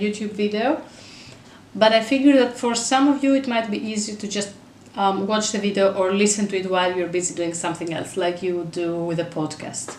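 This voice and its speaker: With a Greek accent, a woman speaks at a fairly quick pace in a medium pitch and ordinary pitch variation. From Greece. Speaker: mother, parenting blogger. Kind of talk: casual talk to camera.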